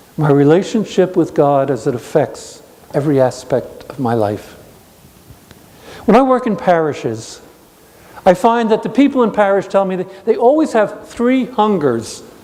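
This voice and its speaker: Noticeable background noise sits behind a man speaking with a New York accent at a high pitch. His pitch swings very widely, broken by long, frequent pauses. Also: moderate pace. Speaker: speaker giving a talk on spirituality. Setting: evening talk to a gathering.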